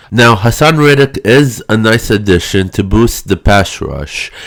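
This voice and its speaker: A man's fairly low voice with very wide pitch swings. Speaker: sports channel host. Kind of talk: sports analysis monologue.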